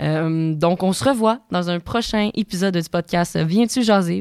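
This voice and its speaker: A woman with an unremarkable speaking voice talks at a moderate pace, her pitch fairly low with ordinary variation. The recording is very clean, with a silent background. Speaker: podcast host. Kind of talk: podcast outro; casual interview. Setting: studio.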